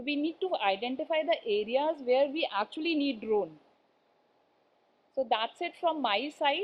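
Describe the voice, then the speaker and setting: Lively intonation and long, frequent pauses mark this speaker with an Indian accent. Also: woman, high pitch for a woman, moderate pace. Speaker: conference speaker, composites industry. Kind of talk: conference talk. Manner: hesitant, many fillers.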